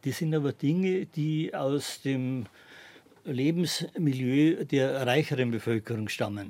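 A man at a fairly high pitch, speaking at a very slow pace. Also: ordinary pitch variation. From Bavarian Forest near Czech border, then Munich. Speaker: historian. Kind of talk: radio interview. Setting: studio. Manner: halting, many fillers.

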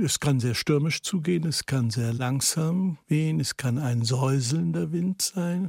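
A man with a fairly high pitch speaks at a very slow pace in a somewhat breathy voice with lively intonation, hardly any pauses, very even loudness, and a dry, close sound with no echo. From Netherlands, then Germany from age six. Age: 70s. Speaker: writer and political essayist. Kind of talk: radio interview.

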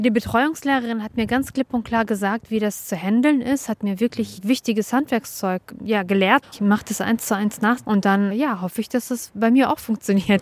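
A woman speaks with a normal speaking voice, pitched fairly high, with ordinary pitch variation. Her moderate pace has hardly any pauses, and the sound is dry and close with no echo. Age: 40s. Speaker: trainee schoolteacher. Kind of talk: classroom teaching.

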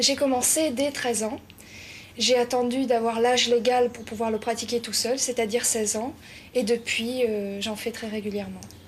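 Noticeable background noise sits under a woman speaking at a moderate pace. Her fairly high voice has monotone, flat intonation. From southern France. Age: 20s. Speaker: hotel school student. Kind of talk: interview.

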